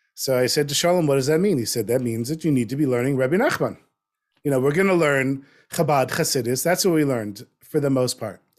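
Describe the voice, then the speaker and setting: A man with an American accent, fairly high pitch, ordinary pitch variation and a very fast pace. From US South, North Miami Beach. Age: 50s. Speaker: storyteller and writer. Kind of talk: interview conversation. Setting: video call.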